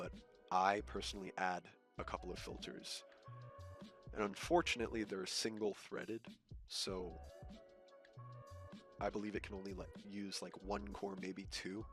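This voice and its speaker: A man at a moderate pace, fairly low in pitch, with lively intonation, long and frequent pauses, and music in the background. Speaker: video editor. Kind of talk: screen-recorded software tutorial. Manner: casual, hesitant, swears.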